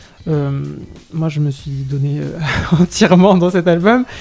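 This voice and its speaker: A man speaks with music in the background. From southwest France, Lot-et-Garonne. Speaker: singer. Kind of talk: interview. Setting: radio interview. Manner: hesitant, many fillers and repetitions.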